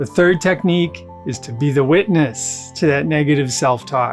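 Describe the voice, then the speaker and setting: Over music in the background, a man with a fairly high pitch speaks in a calm tone at a moderate pace with lively intonation. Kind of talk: mindfulness talk to camera. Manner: calm, conversational, explanatory.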